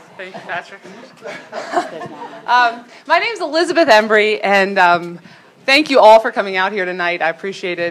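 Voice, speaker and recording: Over noticeable background noise, a woman at medium pitch talks at a moderate pace, leaving long, frequent pauses, with very wide pitch swings and big swings in loudness. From Baltimore, Maryland. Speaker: mayoral candidate, former prosecutor. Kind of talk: campaign speech.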